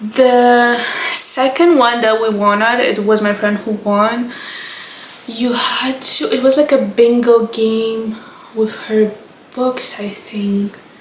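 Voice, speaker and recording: A woman speaks very slowly in a fairly high voice with a Romanian accent and fairly even intonation. Noticeable background noise and audible room echo surround her. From Moldova. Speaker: book content creator. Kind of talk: casual chat.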